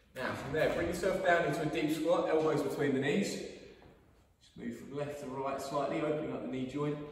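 Amid strong room echo, a man speaks at a fairly quick pace with ordinary pitch variation and big swings in loudness. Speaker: fitness coach. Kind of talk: workout instruction. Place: gym. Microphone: camera far.

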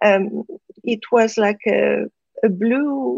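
With a French accent, a woman is talking. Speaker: spiritual teacher. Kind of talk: interview. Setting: live online broadcast.

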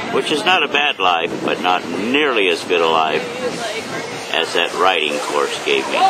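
Loud background noise behind a man's fairly slow speech. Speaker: writer and performer. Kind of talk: casual talk to camera. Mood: warm, reflective. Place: beach. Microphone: phone near.

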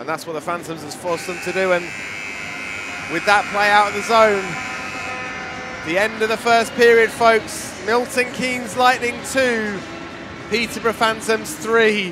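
Music plays behind a man whose raised, projected voice sits high in pitch with ordinary pitch variation. His loudness swings widely. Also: fairly slow pace. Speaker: ice hockey commentator. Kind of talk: live-style play-by-play ice hockey commentary over match highlights. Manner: animated with frequent verbal stumbles and repeated words.

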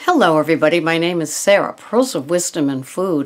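This woman speaks with ordinary pitch variation. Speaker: wellness vlogger. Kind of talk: casual vlog chat. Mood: warm, enthusiastic. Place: home room. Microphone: webcam.

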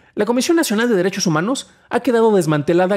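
Against a quiet background, a man with a Mexican accent talks at a very fast pace. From Mexico. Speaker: tech news podcast host; tech news host. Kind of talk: news reading and commentary. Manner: stammering at times; conversational, with fillers. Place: home room. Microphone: studio mic.

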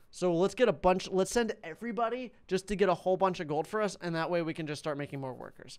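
Lively intonation marks this man's speech. He moves at a fairly quick pace. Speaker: gaming streamer.

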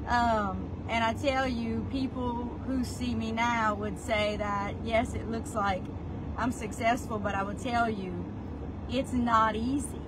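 A woman speaks with a Louisiana accent at a very slow pace. Noticeable background noise runs behind her. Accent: Southern US, Louisiana. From South Louisiana. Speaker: real estate agent. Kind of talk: life story telling, personal vlog monologue. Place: car. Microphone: phone near.

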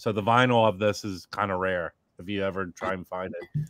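This man has an unremarkable speaking voice, fairly low in pitch, with ordinary pitch variation. The sound is dry with no echo, over a quiet background. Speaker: record collector; guest. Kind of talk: casual group chat. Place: home room. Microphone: webcam.

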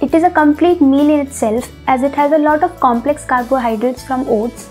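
Over faint background music, a woman talks at a fairly quick pace in a high voice with ordinary pitch variation. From India. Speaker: home cook, food vlogger. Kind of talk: casual talk to camera. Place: home room. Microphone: lapel.

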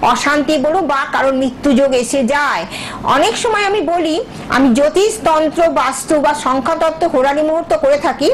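A woman speaks at a high pitch with ordinary pitch variation and very even loudness over light background noise. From West Bengal, India. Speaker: astrologer and tantric spiritual guru; spiritual guide. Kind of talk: live TV phone-in, spiritual advice. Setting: TV studio. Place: studio. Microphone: lapel.

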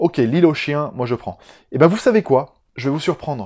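Against a quiet background, a man with a southern French accent speaks at a moderate pace in an animated tone, his fairly high pitch swinging very widely and showing vocal fry. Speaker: film youtuber. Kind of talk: casual vlog monologue. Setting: home recording on a camera that cuts out. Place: home room.

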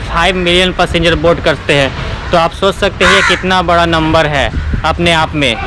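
Noticeable background noise behind a man talking at a fairly slow pace. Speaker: travel vlogger. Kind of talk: casual vlog chat. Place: station. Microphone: phone near.

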